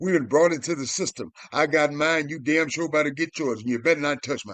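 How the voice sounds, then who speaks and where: Against a quiet background, a man talks in an animated tone at a fairly quick pace, with a fairly high pitch and ordinary pitch variation. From US South, Memphis, Tennessee. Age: 60s. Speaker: internet commentator. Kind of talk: impassioned monologue.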